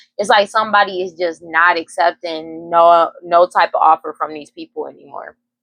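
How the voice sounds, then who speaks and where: A woman's fairly low voice at a moderate pace, hardly pausing, with fairly even intonation, big swings in loudness and a dry, close sound without echo. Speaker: tarot reader. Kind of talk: tarot reading monologue. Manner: monotone; halting, self-correcting.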